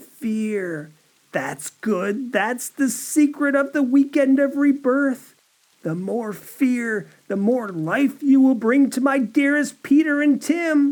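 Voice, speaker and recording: Cackling in a high-pitched, put-on character voice, the speaker goes at a fairly slow pace. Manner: menacing, gloating.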